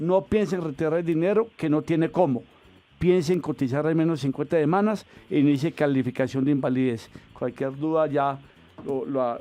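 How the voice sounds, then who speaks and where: Music plays in the background as a man talks at a moderate pace. His pitch is fairly high, with ordinary variation. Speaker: pension lawyer answering radio call-ins. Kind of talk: radio call-in advice.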